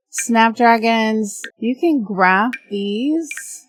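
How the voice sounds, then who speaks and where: A woman's voice with ordinary pitch variation and music in the background. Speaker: gaming YouTuber. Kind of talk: let's play commentary. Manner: casual, hesitant with fillers.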